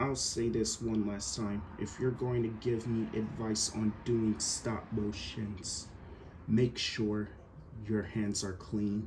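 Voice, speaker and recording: Delivered very slowly with fairly even intonation, the speech carries audible room echo. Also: man, fairly low pitch for a man. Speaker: action figure YouTuber. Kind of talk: casual vlog monologue. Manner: stuttering; repeats words, halting.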